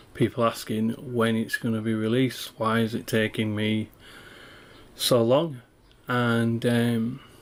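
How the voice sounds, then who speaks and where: A man talks at a fairly slow pace with a Yorkshire accent. His intonation stays flat and monotone. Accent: Yorkshire accent (self-described). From northern England, East Riding of Yorkshire; northern England. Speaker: indie game developer. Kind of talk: dev log walkthrough. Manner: hesitant, many fillers. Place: home room.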